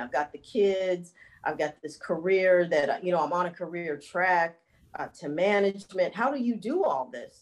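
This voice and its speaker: This is a woman with a plain, everyday voice. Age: 50s. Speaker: fitness instructor and health coach. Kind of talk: casual interview.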